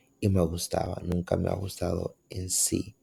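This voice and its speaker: With music in the background, a man speaks at a very slow pace. His pitch is very deep and low. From Dominican Republic. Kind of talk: reflective podcast monologue.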